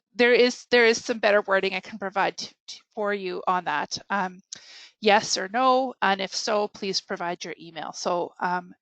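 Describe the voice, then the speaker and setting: A woman with a Canadian accent, medium pitch and a moderate pace, ordinary pitch variation and big swings in loudness, recorded dry and close with no echo against a quiet background. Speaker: librarian trainer. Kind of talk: webinar tutorial. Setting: online webinar. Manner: hesitant, many fillers.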